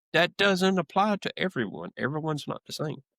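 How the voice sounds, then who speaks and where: With a Southern US accent, a man speaks in a dry, close sound with no echo. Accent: American Southern. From US South, South Georgia. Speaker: HVAC salesman. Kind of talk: interview. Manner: halting.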